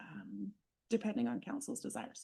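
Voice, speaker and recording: A woman's medium-pitched voice with vocal fry, very wide pitch swings and a moderate pace. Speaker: municipal finance staff. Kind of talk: council meeting.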